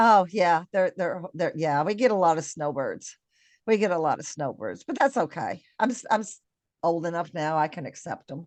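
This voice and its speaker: An unremarkable speaking voice with an American accent uses lively intonation. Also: woman, fairly low pitch for a woman, moderate pace. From Kentucky, US South. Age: 60s. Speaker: podcast host. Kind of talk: interview.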